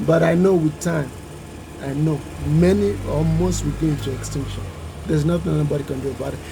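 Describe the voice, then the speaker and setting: A man with a Nigerian accent talks at a fairly quick pace with lively intonation, over noticeable background noise. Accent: Nigerian (Yoruba) English. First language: Yoruba. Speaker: YouTuber. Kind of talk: educational vlog talk.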